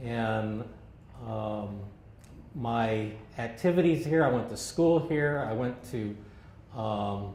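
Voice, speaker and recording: Over noticeable background noise and audible room echo, a man with an American accent and a medium pitch speaks at a very slow pace, with ordinary pitch variation and long, frequent pauses. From Southern California, Santa Ana. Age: 60s. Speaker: longtime local resident. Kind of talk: oral history interview. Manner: halting, many fillers.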